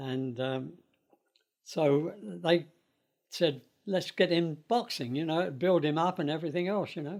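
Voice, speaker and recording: Speaking at a fairly slow pace with long, frequent pauses, a man with a London accent uses a fairly high pitch and ordinary pitch variation. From London, England. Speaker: interviewee sharing life story. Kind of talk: oral history interview. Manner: halting, with fillers.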